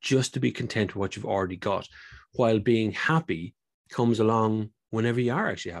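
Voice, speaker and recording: A man with an Irish accent. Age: 40s. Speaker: car enthusiast. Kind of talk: casual interview.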